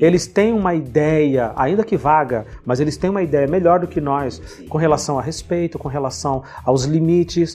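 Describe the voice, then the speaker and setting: At a moderate pace and with ordinary pitch variation, a man with a fairly high voice talks as noticeable noise runs in the background. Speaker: teacher and podcast host. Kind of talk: casual interview chat.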